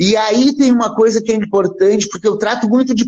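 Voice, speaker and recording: A man's lively, fairly quick speech comes through noticeable background noise. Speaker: poet and university professor. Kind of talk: poetry reading, declaimed verse. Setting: radio studio. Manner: dramatic, energetic, emphatic delivery; measured, rhythmic cadence.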